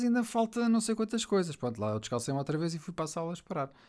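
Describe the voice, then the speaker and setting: A man speaks in a European Portuguese accent, his pitch swinging very widely. The recording is very clean over a silent background. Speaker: host's husband. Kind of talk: casual chat. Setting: home office studio.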